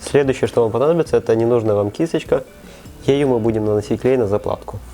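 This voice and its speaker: A medium-pitched man at a very fast pace, ordinary pitch variation, music in the background. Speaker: bike tutorial host. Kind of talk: how-to tutorial narration.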